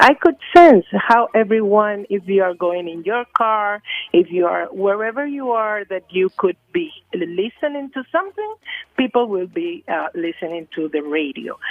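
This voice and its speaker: A woman with a non-native accent talks at a moderate pace. Her medium-pitched voice has very wide pitch swings. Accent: non-Jamaican foreign. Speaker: UN agency communications official. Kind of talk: radio interview. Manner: halting, many fillers.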